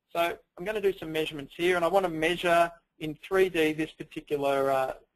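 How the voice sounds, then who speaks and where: A man with an Australian accent speaks at a fairly high pitch with fairly even intonation. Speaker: software product presenter. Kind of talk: webinar software demo. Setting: webinar, screen share. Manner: fast.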